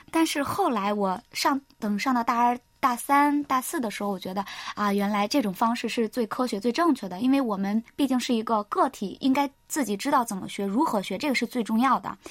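A woman with an unremarkable speaking voice talks at a fairly quick pace, her fairly high pitch showing ordinary pitch variation. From China, Henan. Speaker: university student. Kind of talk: interview. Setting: studio.

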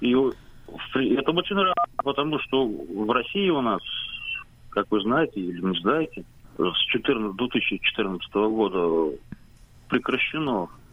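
A man speaks with long, frequent pauses. His pitch swings very widely. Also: very even loudness. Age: 40s. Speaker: radio amateur. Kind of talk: radio interview.

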